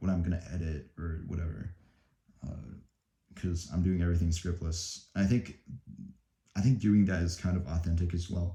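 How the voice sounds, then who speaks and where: Using a very deep, low pitch and a dark, mellow tone, a man speaks in a somewhat breathy voice with fairly even intonation and long, frequent pauses. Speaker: student vlogger. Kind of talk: unscripted study vlog. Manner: slow; halting, many fillers and repetitions.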